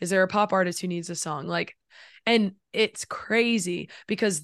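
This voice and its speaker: Against a quiet background, the speaker talks at a moderate pace with a Southern US accent and fairly even intonation. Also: woman. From South Carolina. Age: 20s. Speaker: songwriter and musician. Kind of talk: casual chat.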